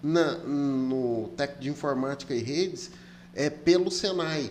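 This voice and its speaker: A man speaks over noticeable background noise. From Brazil, came to Rondônia from elsewhere. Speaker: podcast host. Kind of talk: casual interview chat. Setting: studio.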